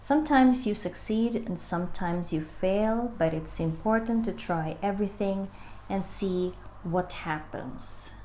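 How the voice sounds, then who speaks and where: Speaking at a fairly slow pace, a woman has a somewhat breathy, dark, mellow tone, a medium pitch and ordinary pitch variation. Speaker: book reader and amateur video maker. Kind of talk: casual book reading with commentary to camera.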